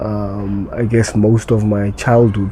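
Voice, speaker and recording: Over noticeable background noise, a man speaks very slowly in a flat monotone. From South Africa, Eldorado Park, Johannesburg. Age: 40s. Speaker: addiction recovery coach. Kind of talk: personal interview testimony. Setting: parents' house. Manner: hesitant, many fillers and repetitions.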